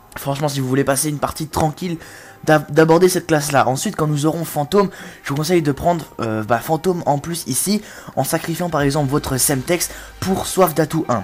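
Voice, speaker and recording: With music in the background, a woman speaks at a fairly quick pace, her pitch very deep and low with ordinary pitch variation. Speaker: gaming commentator. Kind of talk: comedic gameplay tutorial. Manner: animated.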